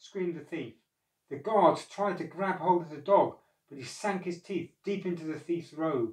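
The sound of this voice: Here is an unforced reading voice. Quiet surrounds it in the background.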